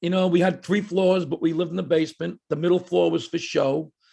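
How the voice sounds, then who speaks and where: A man with a high pitch and a dark, mellow tone speaks with an American accent. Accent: New York (Brooklyn) Italian American. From Brooklyn, New York. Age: 60s. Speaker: stand-up comedian. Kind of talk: interview.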